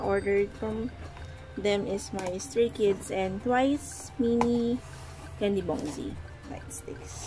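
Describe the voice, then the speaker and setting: The speaker talks at a very slow pace with a non-native accent while music plays in the background. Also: woman. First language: not English. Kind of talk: casual unboxing talk to camera.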